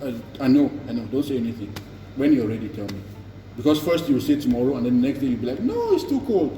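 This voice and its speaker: A medium-pitched man talking at a very fast pace with ordinary pitch variation, audible room echo, and noticeable background noise. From Cameroon. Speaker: YouTuber. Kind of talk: casual chat.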